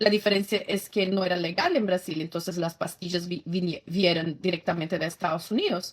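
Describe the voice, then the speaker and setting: A woman with a Brazilian accent talks at a medium pitch. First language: Portuguese (speaking Spanish). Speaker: former feminist activist, pro-life advocate. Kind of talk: testimony. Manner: halting, with many self-corrections.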